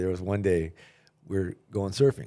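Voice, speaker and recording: On a very clean recording with a silent background, a man talks very fast. His voice is fairly low-pitched, with a dark, mellow tone. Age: 60s. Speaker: podcast host. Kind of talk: casual interview chat.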